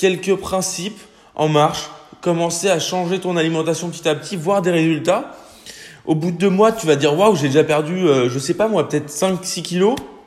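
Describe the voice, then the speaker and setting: Speaking at a moderate pace, a man uses a high-pitched voice with ordinary pitch variation. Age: 20s. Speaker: fitness and nutrition podcaster. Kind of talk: casual solo podcast advice.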